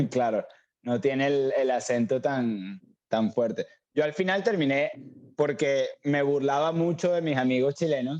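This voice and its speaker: In an ordinary speaking voice, a man talks at a fairly slow pace and a fairly high pitch, with ordinary pitch variation and very even loudness. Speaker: cook. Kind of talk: casual chat.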